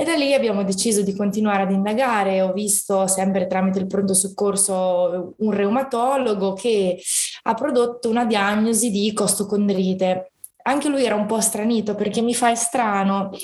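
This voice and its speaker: A woman talks at a moderate pace with very even loudness, and room echo is audible. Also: medium pitch for a woman, fairly even intonation. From Italy, Fano (Marche). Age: 20s. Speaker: fibromyalgia patient sharing her story. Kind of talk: personal testimony in casual interview.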